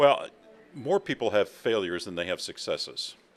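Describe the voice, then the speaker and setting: Speaking with an American accent, this man lets his pitch swing very widely. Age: 70s. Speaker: former TV reporter turned tech entrepreneur and author. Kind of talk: interview. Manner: hesitant, many fillers.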